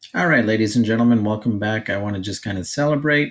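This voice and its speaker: A man speaks at a very fast pace in a fairly low pitch. The recording is very clean, with a silent background. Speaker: teacher making tutorials for staff. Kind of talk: tutorial. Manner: casual, with fillers.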